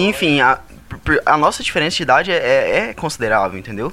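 Lively intonation from a man at a moderate pace, in a normal speaking voice pitched fairly high for a man. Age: 20s. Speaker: engineering student. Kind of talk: casual chat.

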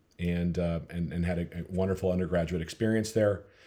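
In an American accent, a man speaks at a fairly quick pace with a very deep, low pitch. His tone is dark and mellow, his intonation monotone and flat. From US Midwest, Minnesota. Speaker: company founder. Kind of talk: interview.

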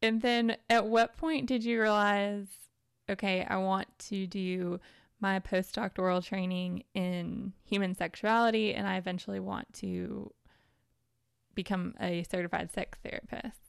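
In a plain, everyday voice, a woman with an American accent speaks at a medium pitch and a fairly slow pace, her intonation fairly even, on a very clean recording with a silent background. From US South. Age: 30s. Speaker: podcast host. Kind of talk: casual chat.

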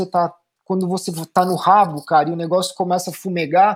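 In a very clean recording with a silent background, a man's speech unfolds at a moderate pace. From São Paulo, Brazil. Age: 40s. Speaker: former pro cyclist, bike coach. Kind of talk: casual interview chat.

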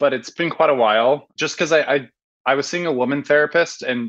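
In an unremarkable speaking voice, a man with an American accent talks at a moderate pace with ordinary pitch variation over a quiet background. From Portland, Oregon. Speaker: caller. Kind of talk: advice call. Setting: video call.

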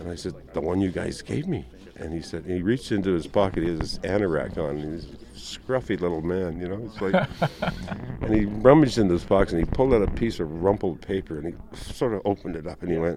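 Over noticeable background noise, a man with a very deep, low pitch speaks at a fairly quick pace with lively intonation. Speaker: actor. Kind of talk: casual interview. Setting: live event. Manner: chatty, laughing.

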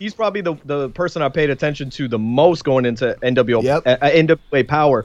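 Speaking at a fairly quick pace with hardly any pauses, a man with a New York accent talks at a fairly high pitch. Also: ordinary pitch variation, dry, close sound with no echo. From New York, Queens. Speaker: wrestling podcaster. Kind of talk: casual chat.

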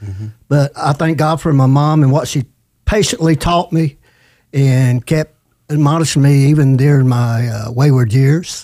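A man's fairly high-pitched voice with a dark, mellow tone, on a very clean recording with a silent background. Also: ordinary pitch variation, moderate pace. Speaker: podcast co-host. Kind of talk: testimony.

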